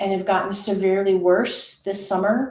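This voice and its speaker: A woman speaks at a fairly slow pace in a somewhat breathy voice. Audible room echo surrounds her. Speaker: leadership coach. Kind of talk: personal announcement in a webinar. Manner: halting.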